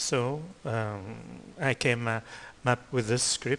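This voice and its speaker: In a non-native accent, a man speaks at a medium pitch with ordinary pitch variation. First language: not English. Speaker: 3D animation teacher. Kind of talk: tutorial. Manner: halting, many fillers.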